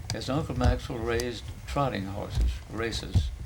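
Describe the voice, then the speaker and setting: The pace is moderate. There is audible room echo. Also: man. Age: 90s. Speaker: family elder. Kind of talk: oral history interview.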